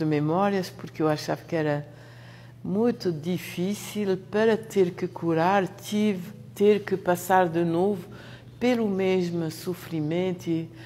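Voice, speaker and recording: A woman at medium pitch with ordinary pitch variation, very slow, with long, frequent pauses. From France. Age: 60s. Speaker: therapist. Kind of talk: testimony. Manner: halting.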